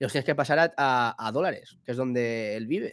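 A man speaks in an ordinary speaking voice at a moderate pace with ordinary pitch variation, on a very clean recording with a silent background. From Spain, Alicante (Villajoyosa). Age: 20s. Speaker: DJ. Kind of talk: casual chat.

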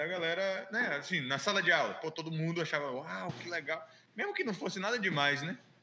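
A man talks at a fairly quick pace in a high pitch with ordinary pitch variation. Noticeable background noise runs behind him. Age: 20s. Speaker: illustrator. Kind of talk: casual chat.

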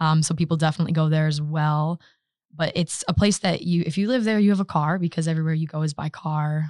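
A woman's very deep, low pitch, fairly even intonation and very fast pace. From US Midwest, Michigan. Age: 20s. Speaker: master's student. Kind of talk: casual interview.

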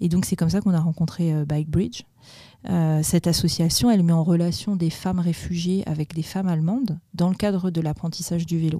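A woman's fairly low, somewhat breathy voice carries a dark, mellow tone. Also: fairly even intonation, fairly quick pace. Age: 40s. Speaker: president of a cycling integration association. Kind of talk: interview. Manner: hesitant, many fillers.

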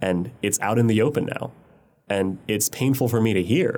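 A man speaks at a medium pitch with ordinary pitch variation and an American accent. His is a plain, everyday voice. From US Mid-Atlantic, Montgomery County, Maryland. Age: 30s. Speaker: urban planner and blogger. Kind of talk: interview.

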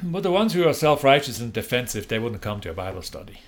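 A man's very fast delivery with lively intonation. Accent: Swiss. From Switzerland. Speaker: prison minister. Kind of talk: interview. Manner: casual.

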